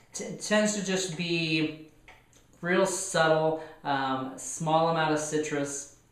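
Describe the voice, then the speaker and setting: With an American accent, a man speaks at a fairly high pitch and a very slow pace. His intonation is fairly even, and there is noticeable background noise. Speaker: wine reviewer. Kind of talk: wine tasting review. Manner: hesitant, many fillers.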